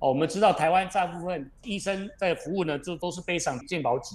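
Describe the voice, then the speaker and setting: This man's voice sits fairly high in pitch, and he talks at a very fast pace. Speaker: company chairman. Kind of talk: radio interview. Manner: measured explanatory with fillers.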